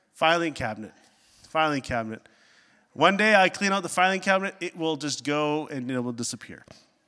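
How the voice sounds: A man talks at a fairly quick pace with lively intonation. His tone is bright and sharp, yet clear and smooth. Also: fairly high pitch for a man.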